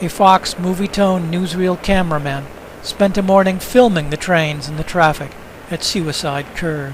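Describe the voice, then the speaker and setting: A man with a high voice and ordinary pitch variation talks at a moderate pace while noticeable background noise continues. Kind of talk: documentary narration of historical newsreel footage.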